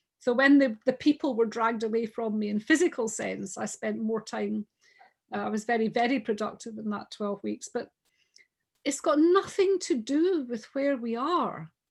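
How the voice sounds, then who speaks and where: A woman with a Scottish accent and a high pitch speaks at a moderate pace with lively intonation, in a very clean recording with a silent background. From Scotland. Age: 60s. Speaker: businesswoman. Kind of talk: casual chat.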